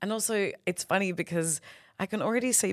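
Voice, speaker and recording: On a very clean recording with a silent background and a dry, close sound with no echo, a woman with an Australian accent talks at a moderate pace with ordinary pitch variation. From Perth, Western Australia. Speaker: comedian. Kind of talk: casual chat. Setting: studio. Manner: animated.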